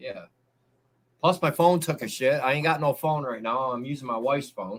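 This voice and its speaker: Here a man talks at a moderate pace. His pitch is fairly high, with ordinary variation. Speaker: livestreamer and drummer. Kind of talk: casual chat. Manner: loud.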